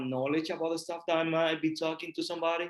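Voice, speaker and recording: The speaker is a man with a Puerto Rican accent. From Puerto Rico. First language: Spanish. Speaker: real estate investor. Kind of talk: podcast interview.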